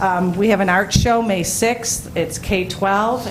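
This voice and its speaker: A woman speaks with ordinary pitch variation. The recording has audible room echo and noticeable background noise. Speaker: school principal giving report. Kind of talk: board meeting report. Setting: school board meeting.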